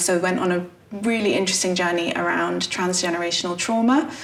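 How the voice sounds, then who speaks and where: A woman with an English accent, at a moderate pace and with fairly even intonation, amid audible room echo and noticeable background noise. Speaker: playwright. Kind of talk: interview. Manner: hesitant, frequent fillers.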